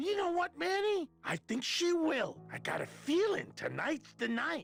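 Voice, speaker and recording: At a moderate pace, someone performs a put-on character voice over faint music in the background. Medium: video game. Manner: friendly, casual.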